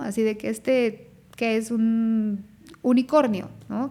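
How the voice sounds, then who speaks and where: Fairly even intonation runs through a very clean recording with a silent background. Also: woman. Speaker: dermatologist podcast host. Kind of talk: personal testimony podcast. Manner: less fluent, halting at times.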